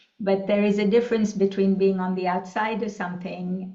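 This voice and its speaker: Audible room echo surrounds a woman speaking at a medium pitch in a monotone, flat way. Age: 60s. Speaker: leadership coach, former executive. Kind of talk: panel discussion. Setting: conference forum.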